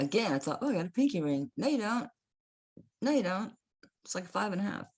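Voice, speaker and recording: Animated in tone, a woman speaks with an American accent and very wide pitch swings. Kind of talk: casual sales video.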